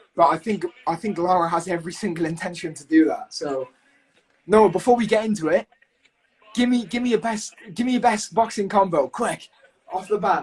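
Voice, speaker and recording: A man with a high pitch talks at a fairly quick pace, with ordinary pitch variation. His loudness swings widely, and he leaves long, frequent pauses. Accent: British. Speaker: podcast host. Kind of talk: live fight commentary and banter. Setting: live stream watching fight on TV. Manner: fast; animated.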